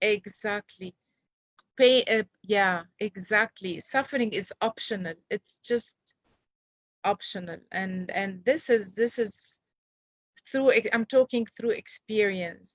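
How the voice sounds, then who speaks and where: Speaking at a very slow pace, a woman leaves long, frequent pauses. Her fairly high voice has ordinary pitch variation, and the sound is dry and close with no echo. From Lebanon. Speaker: storyteller. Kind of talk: interview answer.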